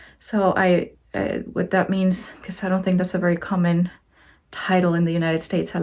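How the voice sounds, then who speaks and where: A woman speaks with a Spanish accent. The recording is very clean, with a silent background. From Mexico. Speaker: crochet teacher and support worker. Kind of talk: casual vlog talk.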